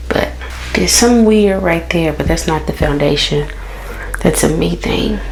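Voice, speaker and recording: A soft-spoken woman talks at a fairly slow pace with long, frequent pauses, her voice carrying audible room echo over noticeable background noise. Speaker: beauty vlogger and mom. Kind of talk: casual chat. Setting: home bathroom.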